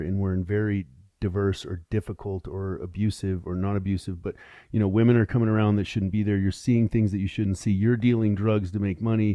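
A man with a fairly low pitch and fairly even intonation, in an ordinary speaking voice. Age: 50s. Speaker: entrepreneur and podcaster. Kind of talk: casual interview chat. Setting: podcast studio.

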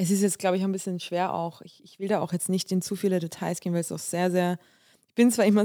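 A woman's medium-pitched voice, dark and mellow in tone, flat and monotone, on a very clean recording with a silent background. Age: 30s. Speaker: podcast host. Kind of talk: personal monologue. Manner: halting, many fillers.

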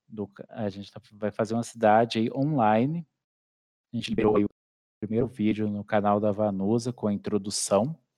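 A plain, everyday voice at a moderate pace, with ordinary pitch variation, a dry, close sound with no echo, and a quiet background. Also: man. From Brazil, interior of Minas Gerais. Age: 30s. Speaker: YouTuber, city-builder gamer. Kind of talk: casual interview.

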